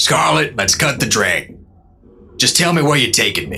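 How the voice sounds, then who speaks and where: Using a raspy put-on character voice, a man makes very wide pitch swings around a medium pitch. He keeps a moderate pace. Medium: audio drama. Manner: dry, laconic, drawling.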